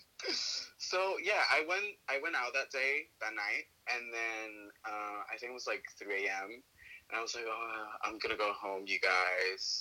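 A man talks at a fairly slow pace with hardly any pauses. Background noise is noticeable. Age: 20s. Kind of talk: casual chat. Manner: animated.

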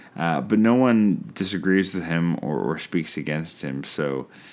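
A man with a Canadian accent, an ordinary speaking voice, a moderate pace and lively intonation. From Canada. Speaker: podcast host, filmmaker. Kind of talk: solo podcast monologue, film review. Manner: casual, frequent filler words.

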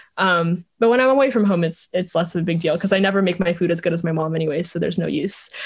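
A somewhat breathy voice at a very fast pace with ordinary pitch variation. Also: woman, fairly low pitch for a woman. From Vietnam, moved to US as a child. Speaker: startup co-founder. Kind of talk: interview.

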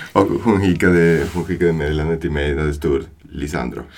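Over noticeable background noise, a man with a very deep, low pitch speaks at a moderate pace with fairly even intonation. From Buenos Aires, Argentina. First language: Spanish (speaking Swedish). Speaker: new father. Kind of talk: casual chat.

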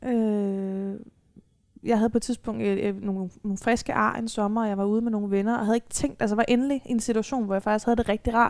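With monotone, flat intonation, the words come at a fairly quick pace. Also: woman, fairly high pitch for a woman. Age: 20s. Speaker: social psychiatry worker with lived experience of self-harm. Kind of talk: live panel talk. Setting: live talk event.

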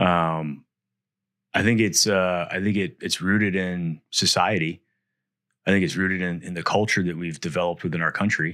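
His very deep, low pitch has a bright, sharp tone, and the man keeps his intonation fairly even. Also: moderate pace, very clean recording, silent background. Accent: American. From US Midwest, Wisconsin. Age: 40s. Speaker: Marine veteran and business owner. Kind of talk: casual interview.

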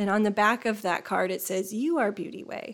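A woman with an unremarkable speaking voice and an American accent, medium in pitch with ordinary variation, on a very clean recording with a silent background. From northern Indiana, small town. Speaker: painter and art facilitator. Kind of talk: casual interview.

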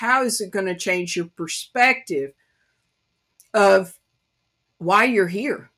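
Bright and sharp in tone, a woman speaks at a medium pitch with an East Tennessee accent. Her intonation is lively. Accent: Southern US (East Tennessee country accent). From US South, East Tennessee. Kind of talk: devotional Bible teaching.

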